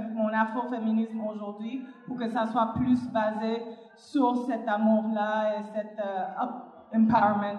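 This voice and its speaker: Speaking at a very slow pace, a woman sounds somewhat breathy and monotone, with flat intonation and audible room echo. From Cuba. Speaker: panelist, activist. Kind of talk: panel discussion.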